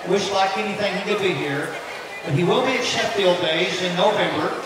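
Someone with an American accent speaks in strong room echo against noticeable background noise. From Tennessee. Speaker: event emcee. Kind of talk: emceeing a charity auction at a fan event. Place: tent. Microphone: pa.

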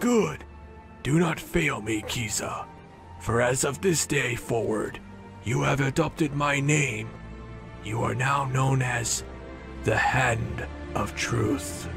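A put-on character voice plays over clear music in the background. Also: man, fairly slow pace. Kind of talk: formal proclamation. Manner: grand, ceremonial.

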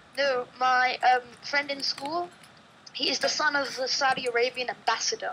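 In a raised, projected voice, a woman speaks at high pitch. Her intonation is fairly even. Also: moderate pace. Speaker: gamer guest. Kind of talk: casual gameplay commentary. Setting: online voice call with headset. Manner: playful, giggly.

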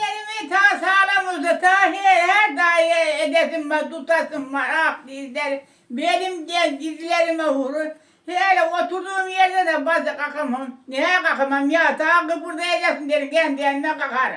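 Raised and projected, the voice has a bright, sharp tone and fairly even intonation, moving at a fairly slow pace with hardly any pauses. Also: woman, extremely high pitch for a woman. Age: 80s+. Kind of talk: interview answer. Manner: casual, chatty.

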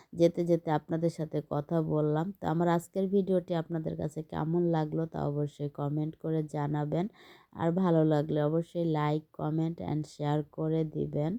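A woman speaks at a very deep, low pitch in a dark, mellow tone with monotone, flat intonation. The background is quiet, and the sound is dry and close with no echo. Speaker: lifestyle vlogger. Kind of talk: vlog narration. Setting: on a bus. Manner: casual, meandering.

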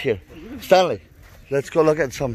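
This is a man speaking at a moderate pace with ordinary pitch variation. The sound is dry with no echo. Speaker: vlogger filming. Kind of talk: casual vlog chat. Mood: cheerful, joking. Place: open country. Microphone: phone near.

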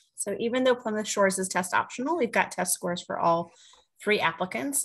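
A somewhat breathy woman's voice with an American accent and lively intonation. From New Jersey. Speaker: college admissions officer; panelist. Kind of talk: panel discussion. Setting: video call. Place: home room. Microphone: video call.

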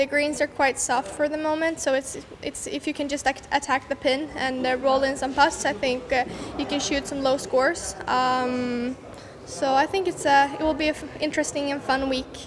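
Against noticeable background noise, a woman with a high pitch speaks at a moderate pace and fairly even intonation. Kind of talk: interview answer. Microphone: handheld.

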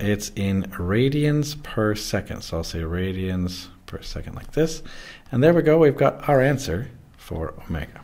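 His pitch makes very wide swings. The man keeps a moderate pace. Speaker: physics teacher. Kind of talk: tutorial.

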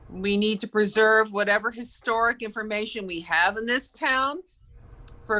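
This woman's voice is bright and sharp, sitting at a medium pitch. She moves at a moderate pace with ordinary pitch variation. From US Northeast (Great Neck, Long Island, New York). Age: 60s. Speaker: local resident, public commenter. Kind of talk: public comment at hearing.

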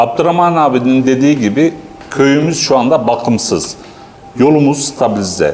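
A man at a moderate pace, his loudness very even, with light background noise. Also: fairly high pitch for a man, ordinary pitch variation. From Mersin Mut, Turkey. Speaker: village resident spokesperson. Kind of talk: interview statement. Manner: halting, many fillers. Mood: earnest complaint. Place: hall. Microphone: lapel.

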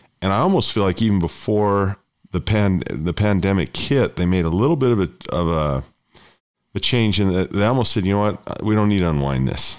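A man with an unremarkable speaking voice and an American accent, fairly low in pitch, fairly quick in pace, with ordinary pitch variation and very even loudness. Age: 50s. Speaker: podcast host, investing educator. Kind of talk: interview.

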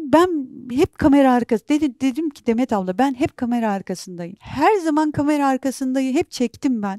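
A woman's high-pitched voice with a dark, mellow tone, moderate pace and hardly any pauses, dry with no echo, against a quiet background. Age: 40s. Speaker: documentary filmmaker and journalist; interview guest. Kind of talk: interview. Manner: halting. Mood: emotional, recounting traumatic events. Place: studio. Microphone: lapel.

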